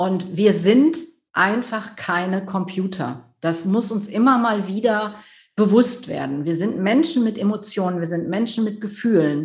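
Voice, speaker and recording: Speaking slowly and somewhat breathily, a woman has a medium pitch and lively intonation. Audible room echo surrounds her voice. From Rhineland, near Düsseldorf, Germany. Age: 50s. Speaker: business coach. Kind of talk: interview.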